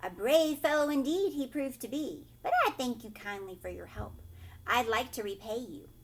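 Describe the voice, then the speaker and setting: A woman puts on a character voice at a high pitch against clear background noise. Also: moderate pace. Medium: read story.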